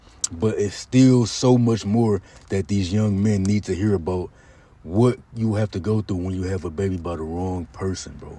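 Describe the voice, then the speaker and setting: A man speaks at a moderate pace in a fairly low pitch with ordinary pitch variation. His tone is dark and mellow, and somewhat breathy. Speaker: commentary youtuber. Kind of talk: casual commentary monologue. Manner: animated.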